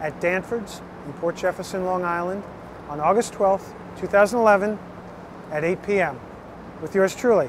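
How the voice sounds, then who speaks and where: A man speaks at a moderate pace with high pitch and ordinary pitch variation. The sound is dry with no echo, and there is noticeable background noise. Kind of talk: casual direct-to-camera video invitation. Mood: eager, slightly nervous. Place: street. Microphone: phone near.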